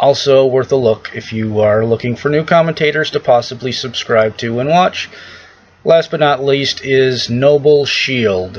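With ordinary pitch variation, a man delivers his words at a fairly slow pace. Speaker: vlogger. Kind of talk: casual vlog chat. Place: home room. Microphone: webcam.

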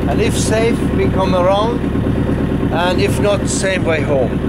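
Loud background noise fills the recording. A man speaks through it at a fairly slow pace. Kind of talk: safety briefing to passengers. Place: boat. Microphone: phone near.

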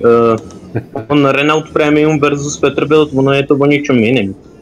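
A man speaks at a fairly slow pace with a fairly high pitch. Noticeable background noise runs behind him. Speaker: gamer streaming with friends. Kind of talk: casual gaming chat.

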